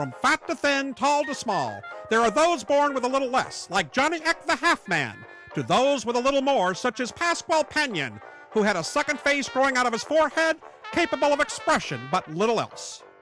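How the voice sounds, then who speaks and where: A man's raised, projected voice at an extremely high pitch, fairly quick and lively in intonation, with music in the background. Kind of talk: sideshow show opener narration. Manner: showman announcer style.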